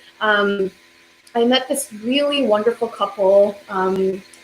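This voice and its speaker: Noticeable background noise beneath a woman's fairly slow speech in an American accent. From South Korea, then Alabama from age 8. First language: Korean. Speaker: violinist. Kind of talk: interview conversation. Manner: hesitant, many fillers.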